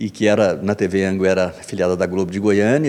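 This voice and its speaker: A man with a dark, mellow tone speaks at a fairly quick pace on a very clean recording with a silent background. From Minas Gerais, Brazil (Coromandel, Patrocínio). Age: 60s. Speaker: filmmaker and writer. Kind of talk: radio interview. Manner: halting.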